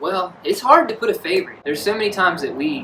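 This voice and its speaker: Noticeable background noise runs throughout. The delivery is fairly quick. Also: man. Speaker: fishing video host. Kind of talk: casual chat. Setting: outdoors. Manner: animated; screams when excited.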